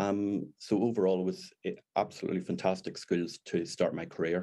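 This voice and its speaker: A man with a Northern Irish accent and a dark, mellow tone speaks at a moderate pace and fairly low pitch, his intonation monotone and flat. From Northern Ireland. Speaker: deputy head teacher. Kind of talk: interview chat.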